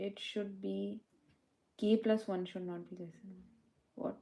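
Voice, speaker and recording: Somewhat breathy and dark, mellow in tone, a woman speaks at a medium pitch. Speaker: coding tutor livestreamer. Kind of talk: live coding session. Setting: livestream. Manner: soft-spoken; halting.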